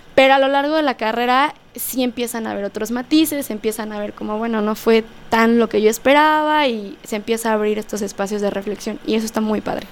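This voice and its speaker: In a plain, everyday voice, a woman talks at a fairly quick pace with a fairly high pitch and ordinary pitch variation. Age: 20s. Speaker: political science graduate. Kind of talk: casual interview.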